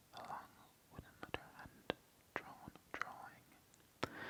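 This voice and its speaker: A man is whispering in a gentle tone at a very slow pace. Noticeable background noise sits behind him. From Ireland. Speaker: ASMR reader / gaming channel host. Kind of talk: ASMR soft-spoken reading of a game guide. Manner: whispered, soft-spoken, gentle.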